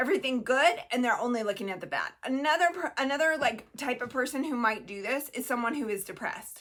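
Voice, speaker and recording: With hardly any pauses, a woman speaks at a very fast pace in a high pitch and lively intonation. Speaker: mental health educator. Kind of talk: casual educational talk to camera. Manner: halting, many fillers and restarts.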